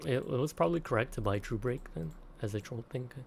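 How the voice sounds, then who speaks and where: The whispering is quiet, with vocal fry, at a moderate pace. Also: man. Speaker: gaming streamer. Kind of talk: live gameplay commentary. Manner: quiet, near-whisper; casual, goofy.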